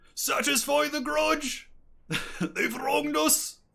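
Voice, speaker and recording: Putting on a character voice, a man talks at a fairly slow pace in an extremely high pitch. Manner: gruff, grudging.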